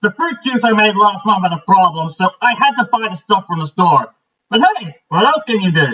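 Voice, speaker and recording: In a put-on character voice, a man uses a high pitch and a raised, projected voice, with lively intonation at a moderate pace. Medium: read story. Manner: warm, easygoing.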